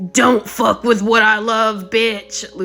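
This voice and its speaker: Put-on character voice from a man, high-pitched and shouting in a menacing tone, monotone and flat, over light background noise. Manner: screaming, menacing.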